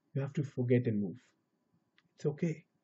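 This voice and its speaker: This man's voice is somewhat breathy and fairly high in pitch, with ordinary pitch variation. He talks at a fairly quick pace. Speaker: spiritual teacher. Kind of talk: spiritual talk. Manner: casual with hesitations.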